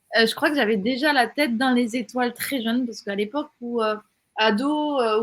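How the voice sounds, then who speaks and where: A woman with a slight southern French accent talks at a moderate pace and fairly high pitch, keeping her intonation fairly even. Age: 40s. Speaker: entrepreneur, platform co-founder. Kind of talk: interview.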